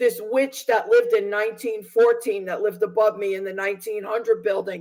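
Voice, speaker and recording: The woman's intonation is fairly even. Her voice is fairly high-pitched. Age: 60s. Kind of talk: testimony.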